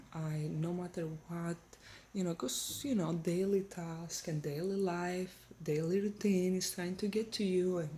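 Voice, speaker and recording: A soft-spoken woman's somewhat breathy voice, fairly low in pitch, with ordinary pitch variation. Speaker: faith vlogger. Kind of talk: casual encouraging talk. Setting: at home in her kitchen.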